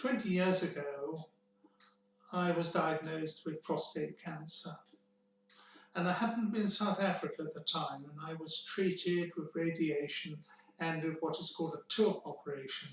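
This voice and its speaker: Noticeable background noise under a man speaking at a high pitch. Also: ordinary pitch variation, moderate pace. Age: 70s. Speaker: cancer survivor telling his story. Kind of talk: personal testimony. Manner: measured, with hesitations.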